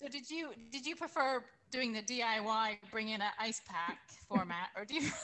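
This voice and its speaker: Moderately paced and with lively intonation, this is a plain, everyday voice. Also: woman, fairly high pitch for a woman. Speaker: podcast co-host and breast cancer patient. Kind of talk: casual chat.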